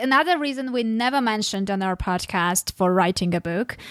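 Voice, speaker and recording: Lively intonation and a bright, sharp tone from a female speaker. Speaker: podcast host. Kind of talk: podcast interview.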